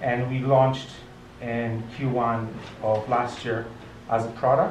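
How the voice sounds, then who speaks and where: A man talks over noticeable background noise. The room echo is audible. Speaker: tech meetup speaker, research team lead. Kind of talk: conference talk with audience questions. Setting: restaurant meetup with audience. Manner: hesitant, many fillers and restarts.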